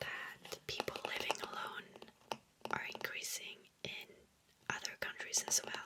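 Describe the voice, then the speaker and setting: Whispering at a fairly slow pace with long, frequent pauses, the voice comes through over noticeable background noise. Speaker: ASMR content creator. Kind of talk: ASMR whisper reading of facts. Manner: whispered, soft-spoken.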